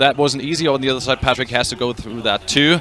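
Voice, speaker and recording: A man speaks with a German accent at a medium pitch. His pitch varies in an ordinary way over noticeable background noise. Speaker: triathlon commentator. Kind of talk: live commentary. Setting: studio. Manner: halting.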